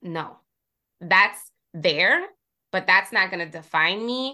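A woman talks at a moderate pace in a bright, sharp tone. Her pitch varies in an ordinary way over a quiet background. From US Northeast, Jersey City, Puerto Rican community. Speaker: communications strategist and podcast host. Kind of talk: casual interview.

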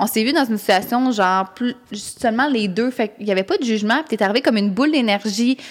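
The speaker, with a Quebec accent, talks at a fairly quick pace with ordinary pitch variation. Noticeable background noise can be heard. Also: woman. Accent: Québécois French. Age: 20s. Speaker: podcast co-host. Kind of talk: casual chat.

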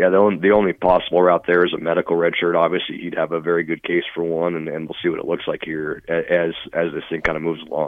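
A man with a very deep, low voice speaks very fast in a flat monotone. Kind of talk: casual interview chat.

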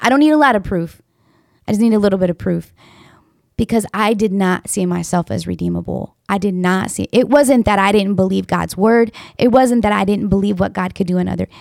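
The voice is an unremarkable speaking voice with ordinary pitch variation. It moves at a fairly quick pace. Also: woman, medium pitch for a woman. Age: 40s. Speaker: podcast host. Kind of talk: casual chat.

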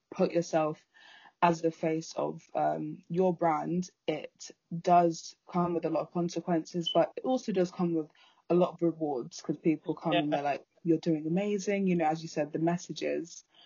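A woman speaks in an ordinary speaking voice at a fairly low pitch and moderate pace, with fairly even intonation. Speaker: podcast host. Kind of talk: casual interview chat.

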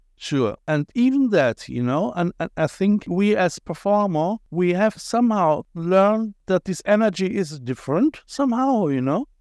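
In a German accent, the speaker talks at a moderate pace with hardly any pauses and very wide pitch swings, in a dry, close sound with no echo against a quiet background. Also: man, high pitch for a man. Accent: German-accented English with Cologne tinge. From Germany, Cologne. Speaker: podcast host and visual artist. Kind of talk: casual interview chat. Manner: animated, repetitive stammering.

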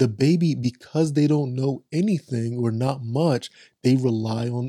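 Somewhat breathy and dark, mellow in tone, a man's medium-pitched voice holds fairly even intonation. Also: dry, close sound with no echo. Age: 20s. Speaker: podcast co-host, father and real estate investor. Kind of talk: casual chat.

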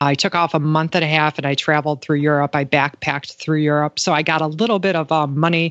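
A woman's very deep, low-pitched voice, fairly even in intonation, at a fairly quick pace. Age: 40s. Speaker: blogger in addiction recovery. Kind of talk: personal testimony in interview.

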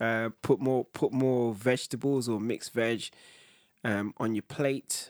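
This man's voice sits at a medium pitch with flat, monotone intonation. The sound is dry and close, with no echo. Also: fairly slow pace. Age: 40s. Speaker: podcast co-host. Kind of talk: casual chat. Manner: halting.

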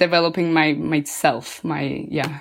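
Spanish-accented speech from a woman. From Colombia. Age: 20s. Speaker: yoga instructor. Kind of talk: interview.

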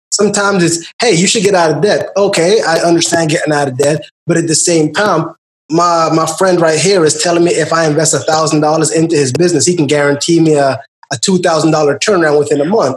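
Very fast is the pace of this man's speech, at a fairly high pitch. His loudness stays very even, and his intonation is fairly even. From Guyana. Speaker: podcast host. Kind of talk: casual chat.

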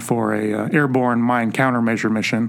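There is noticeable background noise as a man talks in a medium pitch with fairly even intonation. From San Francisco Bay Area. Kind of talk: interview answering questions.

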